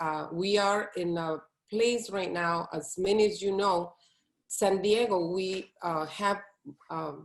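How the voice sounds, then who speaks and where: This woman has a Latin American accent and a medium pitch. She speaks with fairly even intonation. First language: Spanish. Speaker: plant-based chef. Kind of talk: interview.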